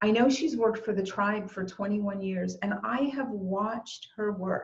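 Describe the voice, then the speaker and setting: A woman with an ordinary speaking voice talks at a fairly slow pace, her medium pitch showing ordinary variation. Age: 60s. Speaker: eulogist. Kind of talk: eulogy. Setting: video call.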